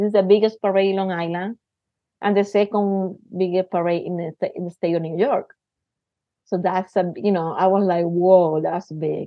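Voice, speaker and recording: A woman with a Puerto Rican accent speaks at a moderate pace in a medium pitch with monotone, flat intonation. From Puerto Rico. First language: Spanish. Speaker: theater artist and university teacher. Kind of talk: casual interview.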